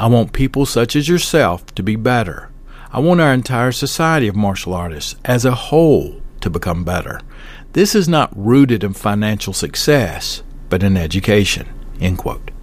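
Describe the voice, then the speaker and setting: A man speaks with a Southern US accent at a moderate pace. His medium pitch swings very widely. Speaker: podcast host, martial arts teacher. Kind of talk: podcast episode with book review and sponsor read.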